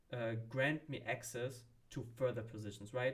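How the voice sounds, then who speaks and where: A somewhat breathy male voice with a German accent, medium pitch and fairly even intonation. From Germany. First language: not English (third language). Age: 30s. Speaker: vlogger, marketing professional. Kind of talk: casual personal vlog. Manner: hesitant, with fillers.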